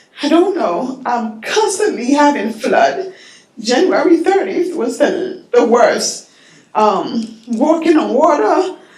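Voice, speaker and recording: Speech comes at a very slow pace with very wide pitch swings. Noticeable background noise and audible room echo fill the recording. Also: woman, high pitch for a woman. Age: 50s. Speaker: public housing resident speaking at public comment. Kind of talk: public comment testimony. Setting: public board meeting. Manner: halting, hesitant.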